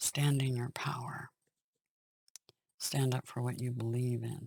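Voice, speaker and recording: Very deep, low pitch from a woman, somewhat breathy and monotone, at a fairly slow pace in a dry, close recording with no echo. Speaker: tarot reader. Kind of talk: tarot reading monologue.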